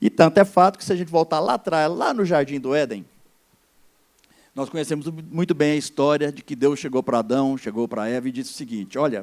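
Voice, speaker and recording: Here is a normal speaking voice with lively intonation. It moves at a fairly quick pace. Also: man, fairly high pitch for a man. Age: 60s. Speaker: pastor. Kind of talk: sermon.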